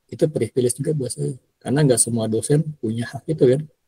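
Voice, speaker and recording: A somewhat breathy man's voice at medium pitch, dark and mellow in tone, with fairly even intonation. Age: 50s. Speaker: university lecturer. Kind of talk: lecture. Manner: casual, with many fillers.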